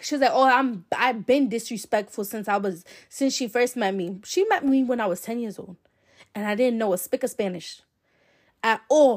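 Captured in a very clean recording with a silent background, a woman speaks in an animated tone. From Providence, Rhode Island. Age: 20s. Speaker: podcast host. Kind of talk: casual monologue.

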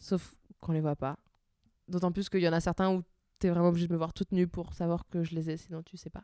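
A woman with a fairly low pitch and a dark, mellow tone talks very fast in a flat monotone, with big swings in loudness and long, frequent pauses, in a dry, close sound with no echo on a very clean recording with a silent background. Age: 20s. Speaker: Instagram account author and podcast co-host. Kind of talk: casual chat. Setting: at home at night, Eiffel Tower view.

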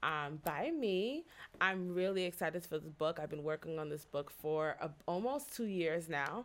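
A woman with an unremarkable speaking voice speaks at a moderate pace in a fairly low pitch. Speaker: pastor and spoken word poet. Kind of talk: casual interview chat.

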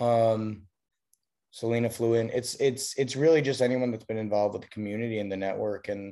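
A man with an American accent, fairly low in pitch and dark, mellow in tone, at a moderate pace with fairly even intonation, against a quiet background. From Chicago. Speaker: recording studio owner. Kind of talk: casual interview.

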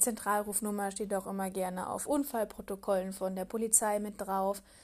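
On a very clean recording with a silent background, a woman with a plain, everyday voice speaks at a moderate pace, with a medium pitch and ordinary pitch variation. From Palatinate, Germany. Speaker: podcast host. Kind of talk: solo podcast monologue.

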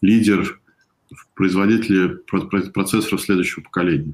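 Fairly even in intonation, a man speaks with a fairly low pitch. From Russia. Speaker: venture investor. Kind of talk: interview on a live stream.

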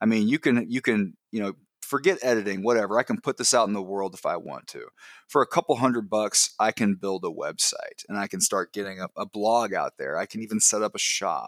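Fairly quick and at a medium pitch, a man with an unremarkable speaking voice and ordinary pitch variation comes through on a very clean recording with a silent background. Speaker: podcast guest. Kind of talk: casual interview chat. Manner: casual, filler words, laughs often.

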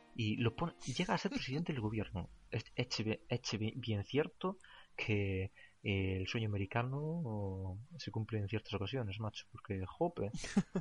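Speaking fairly slowly with a Galician accent, a man uses lively intonation in a fairly low, somewhat breathy voice. The sound is dry and close with no echo, over a quiet background. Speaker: podcast host. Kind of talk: casual chat.

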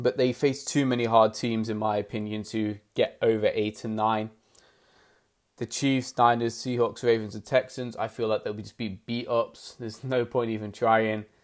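A man speaks at a moderate pace in a medium pitch, his intonation flat and monotone. The recording is very clean, with a silent background. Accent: British. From UK. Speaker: sports podcaster. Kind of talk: solo podcast monologue. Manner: casual, chatty, hesitant with fillers.

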